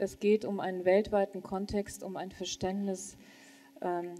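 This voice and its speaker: A woman speaks at a fairly slow pace. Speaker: church leader; panelist. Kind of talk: panel discussion. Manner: halting. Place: hall. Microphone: handheld.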